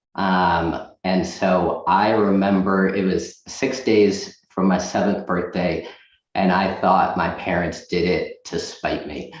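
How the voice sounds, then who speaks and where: Audible room echo surrounds a man with a very deep, low pitch. He speaks at a very slow pace with fairly even intonation. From Boston area, US (born in Russia, moved age 6). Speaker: loan officer. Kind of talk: interview.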